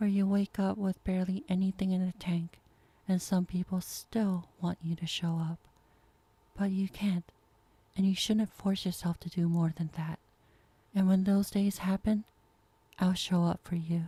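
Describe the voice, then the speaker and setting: A woman's dark, mellow, somewhat breathy voice at medium pitch, monotone and flat, at a fairly slow pace with long, frequent pauses, in a dry, close sound with no echo. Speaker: ASMR performer. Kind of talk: ASMR girlfriend comfort roleplay.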